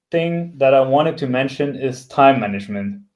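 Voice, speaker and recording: A man speaks with a non-native accent at a fairly high pitch. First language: not English. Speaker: software developer and tech blogger. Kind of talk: talk. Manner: hesitant, many fillers.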